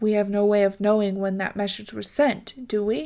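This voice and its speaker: A woman uses a put-on character voice at a medium pitch, with fairly even intonation and a moderate pace. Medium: read story. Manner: stern, curt.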